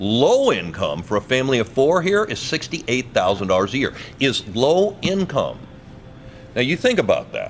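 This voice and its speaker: Over noticeable background noise, a man talks at a moderate pace in an animated tone. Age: 60s. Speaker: radio host and non-profit vice president. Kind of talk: interview. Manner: energetic.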